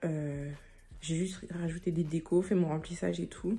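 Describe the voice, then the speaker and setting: Somewhat breathy, a woman's dark, mellow voice keeps to a moderate pace. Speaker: vlogger. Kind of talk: casual vlog. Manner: animated.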